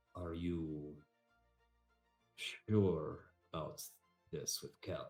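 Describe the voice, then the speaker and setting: A quiet, put-on character voice from a man, very deep and low, at a very slow pace with long, frequent pauses and faint music in the background. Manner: quiet, lowered.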